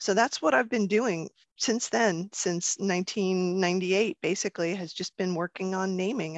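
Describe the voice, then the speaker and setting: A woman with a plain, everyday voice, medium pitch and ordinary pitch variation at a moderate pace, dry and close with no echo over a quiet background. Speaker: podcast host and professional namer. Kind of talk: live panel moderation. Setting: live online panel.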